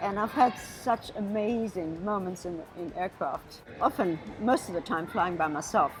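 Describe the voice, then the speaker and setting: A woman at medium pitch with a German accent and ordinary pitch variation, at a fairly slow pace with music in the background. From Namibia. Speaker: pilot. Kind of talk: interview. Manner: animated.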